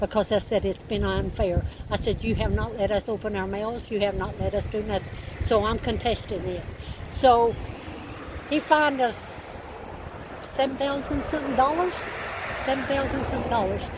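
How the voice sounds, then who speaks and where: Through noticeable background noise, a woman speaks at a moderate pace with long, frequent pauses, a fairly high pitch, and ordinary pitch variation. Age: 70s. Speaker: eviction victim telling her story. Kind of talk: interview testimony.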